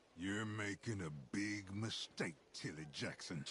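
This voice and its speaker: Over clear background noise, a man growls in a put-on character voice, fairly low in pitch and fairly slow. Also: ordinary pitch variation. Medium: video game. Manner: menacing.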